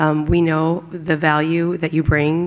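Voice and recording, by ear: The woman's voice is raspy and low in pitch.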